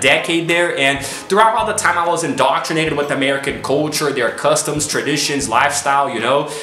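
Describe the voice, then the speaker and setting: A man's fairly high voice at a fairly quick pace with ordinary pitch variation, plus audible room echo and noticeable background noise. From United States (raised from age 5, born in Brazil). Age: 20s. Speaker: YouTuber. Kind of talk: casual vlog monologue. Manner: relaxed, filler-heavy (you know).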